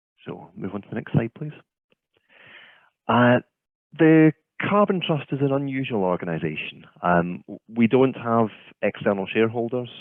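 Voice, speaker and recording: A man with a Scottish accent, medium pitch and very wide pitch swings, moving at a moderate pace with long, frequent pauses. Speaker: offshore wind consultant. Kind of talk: keynote presentation. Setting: video call webinar.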